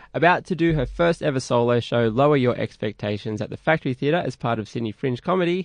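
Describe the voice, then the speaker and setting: A man with an Australian accent at medium pitch, fairly quick pace and lively intonation, in a dry, close sound with no echo and a quiet background. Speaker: radio host. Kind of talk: radio interview. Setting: studio.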